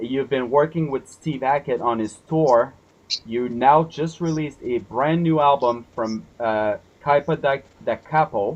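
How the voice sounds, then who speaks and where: The speech moves at a fairly slow pace. It comes with a French accent. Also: man, fairly high pitch for a man, ordinary pitch variation. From Quebec. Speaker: interviewer. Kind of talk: interview. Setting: video call.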